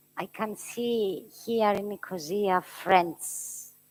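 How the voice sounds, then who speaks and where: A woman with a Greek accent and ordinary pitch variation, on a very clean recording with a silent background. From Cyprus. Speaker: committee chair. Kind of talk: formal meeting opening speech. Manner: halting.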